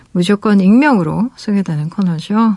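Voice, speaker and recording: A woman speaks at a fairly slow pace and a medium pitch with ordinary variation, her voice somewhat breathy with a warm, dark, mellow tone. The sound is dry and close with no echo. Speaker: radio DJ and novelist. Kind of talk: late-night radio chat reading listener letters. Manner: warm, with frequent hesitations.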